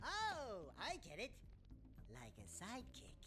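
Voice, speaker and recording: Using a put-on character voice, a man speaks at a fairly slow pace with clear background noise. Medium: video game. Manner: brash, quippy.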